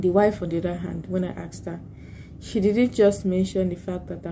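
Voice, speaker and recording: A soft-spoken woman. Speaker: vlogger and lawyer. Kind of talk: casual vlog talk. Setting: office at work. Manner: soft-spoken, low volume.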